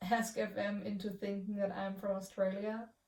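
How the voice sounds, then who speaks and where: With a German accent, the voice sounds somewhat breathy and holds a monotone, flat intonation. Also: woman. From Germany. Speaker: vlogger answering questions. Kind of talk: casual video monologue. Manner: halting, many repetitions and fillers.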